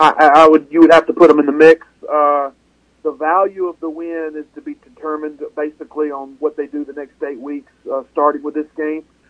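In a dry, close sound with no echo, a man with a fairly high pitch talks at a fairly quick pace in a monotone, flat intonation. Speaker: college football analyst guest. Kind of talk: radio interview answers.

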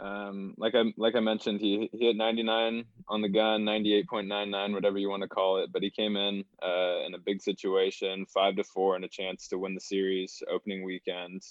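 This man has an unremarkable speaking voice, a fairly low pitch, and a moderate pace. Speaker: baseball analytics staffer. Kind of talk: casual chat.

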